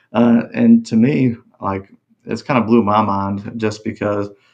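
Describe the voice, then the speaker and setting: A man mumbles with a Texas accent. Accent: Texas drawl. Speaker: country singer. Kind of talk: casual interview chat. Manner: mumbling.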